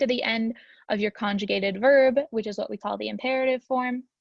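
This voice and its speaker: The speaker talks at a very fast pace in a somewhat breathy voice with fairly even intonation. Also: woman. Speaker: student teacher. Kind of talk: tutorial. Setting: recorded video lesson for a class. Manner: casual with frequent fillers.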